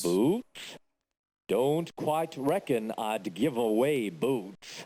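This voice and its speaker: In a put-on character voice of medium pitch, a man talks very slowly with very wide pitch swings. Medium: video game. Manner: dry, morbid.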